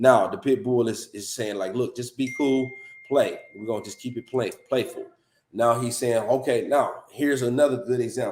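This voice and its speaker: In a normal speaking voice of medium pitch, a man talks at a moderate pace with ordinary pitch variation and big swings in loudness. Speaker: dog breeder and show host. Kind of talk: live show commentary on video.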